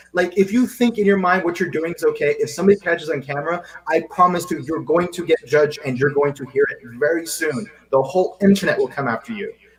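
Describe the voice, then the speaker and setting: Against noticeable background noise, a man talks at a very fast pace in a high pitch with ordinary pitch variation. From Seychelles. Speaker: wellness podcast co-host. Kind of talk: casual chat. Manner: animated, repeats words when starting sentences.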